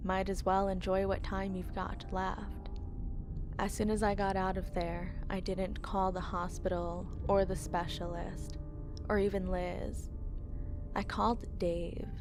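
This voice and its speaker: Background music plays as a woman speaks at a fairly slow pace. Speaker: horror story narrator. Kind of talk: horror story narration read aloud.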